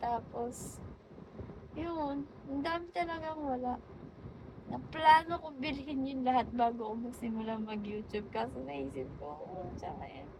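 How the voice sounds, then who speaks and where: A woman with a high pitch speaks at a fairly slow pace, her intonation lively and her loudness swinging widely. Audible room echo and noticeable background noise surround her. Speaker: vlogger. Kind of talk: casual monologue. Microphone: phone mic, no microphone.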